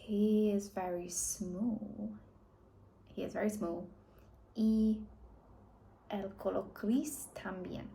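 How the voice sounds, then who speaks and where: A woman talks very slowly in a dark, mellow tone. Her voice is somewhat breathy, and audible room echo can be heard. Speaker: language learner vlogger. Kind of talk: reading aloud and translating; casual vlog talk. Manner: halting.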